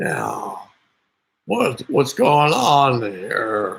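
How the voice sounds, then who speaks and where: A man puts on a character voice. It is raspy and sits at a medium pitch. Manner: befuddled, hesitant.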